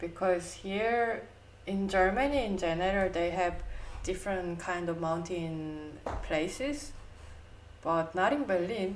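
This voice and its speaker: A woman at a medium pitch and fairly slow pace, with ordinary pitch variation, long, frequent pauses and audible room echo. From South Korea. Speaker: podcast co-host. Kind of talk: casual chat.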